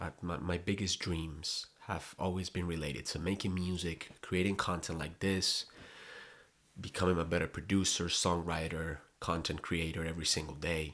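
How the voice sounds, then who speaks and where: A man's very deep, low voice with a Spanish accent, monotone and flat, in a very clean recording with a silent background. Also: moderate pace. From Colombia. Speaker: content creator. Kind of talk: personal vlog monologue. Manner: halting, repeats words.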